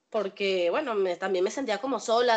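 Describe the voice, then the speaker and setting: A woman speaks in an ordinary speaking voice at a moderate pace. The background is quiet. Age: 20s. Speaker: cleaner and caregiver. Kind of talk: casual family chat.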